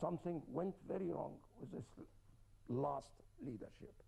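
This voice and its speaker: Here a man with a fairly high pitch speaks at a moderate pace. His tone is dark and mellow, with vocal fry. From Germany, from age twelve. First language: German. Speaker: scientist, interview guest. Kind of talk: TV interview.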